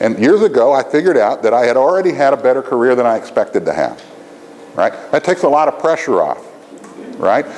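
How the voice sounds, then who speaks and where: Over noticeable background noise, a man speaks at a very fast pace in an animated tone. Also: very even loudness. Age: 60s. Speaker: education dean and lecturer. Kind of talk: lecture. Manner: animated, conversational with frequent "right?".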